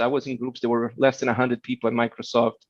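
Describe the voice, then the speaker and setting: A man talks in a Portuguese accent. The sound is dry and close, with no echo. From Brazil, Rio de Janeiro. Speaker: keynote speaker, tech executive. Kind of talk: keynote talk. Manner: fast.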